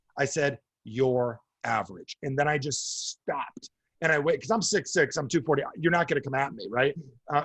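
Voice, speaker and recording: With a New Jersey accent, a man talks at a fairly quick pace in a fairly high voice with ordinary pitch variation, the sound dry and close with no echo. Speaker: speaker or coach addressing business audiences.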